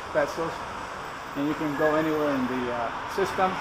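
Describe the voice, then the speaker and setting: Fairly quick speech over loud background noise. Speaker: vlogger. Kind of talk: casual vlog chat. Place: station. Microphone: phone near.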